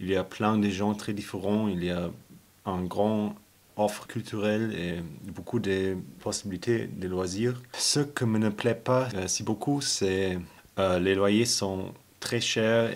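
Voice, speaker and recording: A man speaks at a very slow pace in a fairly low pitch with fairly even intonation. The recording is very clean, with a silent background. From Germany. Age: 20s. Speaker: Erasmus student. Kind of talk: interview. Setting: at home. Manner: halting.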